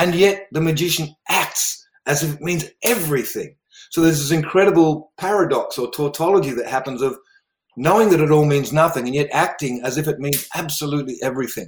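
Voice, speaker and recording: With an Australian accent, a man talks at a fairly quick pace in a fairly high pitch. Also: ordinary pitch variation. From South Australia, River Murray region. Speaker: meditation and sound healing teacher. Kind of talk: interview conversation.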